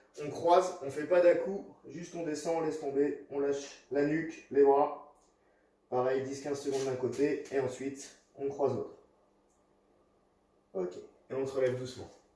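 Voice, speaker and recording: A man speaks at a fairly high pitch with a dark, mellow tone, his loudness swinging widely and long, frequent pauses breaking his speech. The room echo is audible. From US Midwest (South Dakota). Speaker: fitness coach. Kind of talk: workout tutorial. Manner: instructive, paced.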